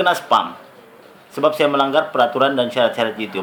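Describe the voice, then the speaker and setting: A man talks at a fairly quick pace with a Sabah accent. Noticeable background noise runs behind him. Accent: Sabah Malay. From Sabah, Malaysia. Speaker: YouTuber. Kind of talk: tutorial.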